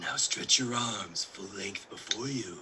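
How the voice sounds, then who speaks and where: In a put-on character voice at medium pitch, a man speaks at a fairly slow pace over clear background noise. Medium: stage play. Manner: brusque, commanding.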